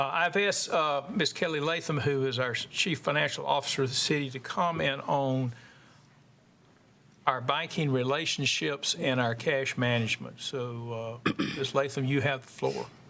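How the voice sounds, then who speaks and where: A man's voice sits fairly high in pitch, with ordinary pitch variation. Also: moderate pace. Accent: Southern US. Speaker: committee chair. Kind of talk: chairing a meeting. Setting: council committee meeting.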